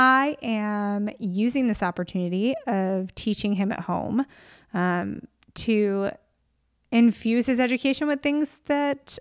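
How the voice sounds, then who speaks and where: On a very clean recording with a silent background, a woman with an American accent and an ordinary speaking voice talks fairly slowly, her pitch fairly high and varying in an ordinary way. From upstate New York. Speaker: podcast host. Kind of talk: casual monologue.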